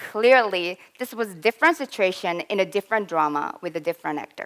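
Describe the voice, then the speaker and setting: With a slight Korean accent, a woman speaks at a moderate pace in a fairly high pitch, her voice swinging very widely, in a dry, close sound with no echo. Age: 20s. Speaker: English learner, student. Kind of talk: presentation.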